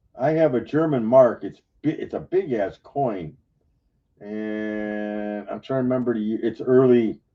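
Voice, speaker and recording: Music in the background behind a man's fairly slow speech. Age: 60s. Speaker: coin collector on live stream panel. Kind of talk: casual chat.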